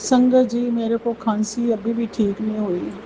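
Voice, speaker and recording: A woman speaks at a very slow pace in a monotone, flat intonation over noticeable background noise. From Punjab. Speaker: devotee sharing testimony. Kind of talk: devotional testimony. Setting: at home before altar, night.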